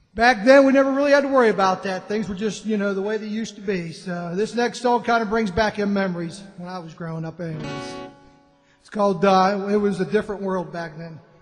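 A man speaks at a very fast pace in a high voice with ordinary pitch variation. His loudness swings a lot, and faint music plays behind him. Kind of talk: song introduction to audience. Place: cafe.

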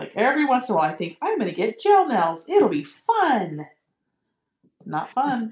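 Over a quiet background with audible room echo, a woman speaks at a moderate pace in a somewhat breathy voice with very wide pitch swings. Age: 40s. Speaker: beginner sewer, host's sister; host's sister. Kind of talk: casual chat while sewing along. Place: home room.

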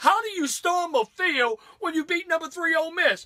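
Over a quiet background, a man with an American accent uses a raised, projected voice, his tone bright, sharp and animated at a moderate pace. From US South, Louisiana. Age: 50s. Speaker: sports radio host. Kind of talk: angry comedic rant about college football fans. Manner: animated, indignant, sarcastic. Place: studio. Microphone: camera far.

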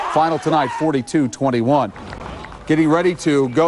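A man talks at a fairly high pitch. Music plays behind his voice. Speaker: sports highlights announcer. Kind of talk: live-style sports commentary voiceover over game highlights. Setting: studio voiceover. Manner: fast, punchy, energetic play-by-play delivery.

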